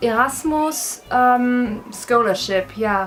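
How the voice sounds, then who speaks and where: Over music in the background, a woman with a German accent speaks at a high pitch. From Germany. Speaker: university student. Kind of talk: casual vlog talk to camera.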